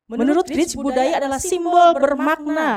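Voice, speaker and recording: A woman speaks at a moderate pace with a slight Sundanese accent. Her pitch varies in an ordinary way. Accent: slight Sundanese-tinged Indonesian. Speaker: university lecturer. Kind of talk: lecture.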